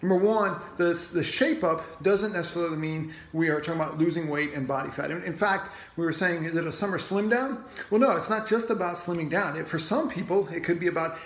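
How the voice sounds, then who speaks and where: At a fairly quick pace, a man speaks in a high pitch with ordinary pitch variation, and audible room echo is present. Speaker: gym owner or coach. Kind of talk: casual talk to members. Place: gym. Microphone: phone near.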